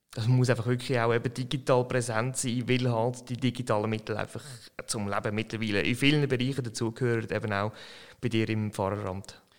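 A man's normal speaking voice of medium pitch, at a fairly quick pace with fairly even intonation. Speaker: podcast host. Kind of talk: interview conversation.

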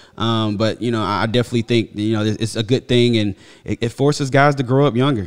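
The speaker has an unremarkable speaking voice with fairly even intonation. The pace is fairly quick. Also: man. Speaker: football podcast host. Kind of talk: casual chat. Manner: casual, slangy.

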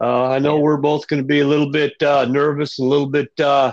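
With an American accent, a man speaks at a moderate pace in a fairly high pitch, his intonation monotone and flat. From northern US. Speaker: podcast co-host, military veteran, former truck driver. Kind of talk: casual chat.

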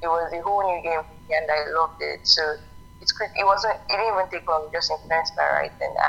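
A woman talks with big swings in loudness while music plays in the background. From Nigeria. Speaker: novelist and business owner. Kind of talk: interview.

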